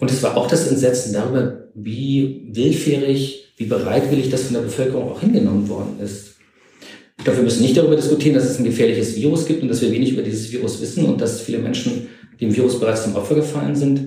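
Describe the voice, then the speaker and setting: A man talks at a very fast pace with ordinary pitch variation. Room echo is audible. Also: medium pitch for a man. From East Germany. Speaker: historian. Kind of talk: interview.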